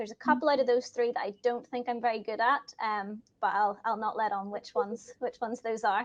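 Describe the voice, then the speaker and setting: In a Northern Irish accent, a woman speaks with a fairly high pitch and fairly even intonation. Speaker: risk assurance employee. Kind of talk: self-introduction at virtual event. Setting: video call from dining room.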